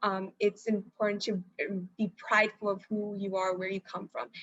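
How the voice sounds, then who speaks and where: A woman's American accent with fairly even intonation. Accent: American English accent when speaking Marathi. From US, raised partly in India. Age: young. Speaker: engineering student. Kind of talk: interview. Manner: halting, many fillers.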